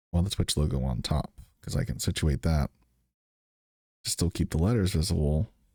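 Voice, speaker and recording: Very deep and low in pitch, a man's dark, mellow, somewhat breathy voice moves at a moderate pace with lively intonation, long, frequent pauses and very even loudness, in a dry, close sound with no echo. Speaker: streamer. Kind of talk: tutorial. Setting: live stream.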